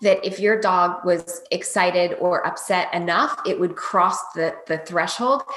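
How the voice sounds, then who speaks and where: A woman speaks with an American accent. Background noise is noticeable throughout. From US Maryland. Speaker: dog trainer. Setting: video call.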